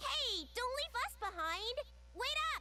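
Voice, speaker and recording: A put-on character voice that sounds female comes out squeaky and extremely high-pitched for a woman. Its pace is fairly slow. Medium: cartoon.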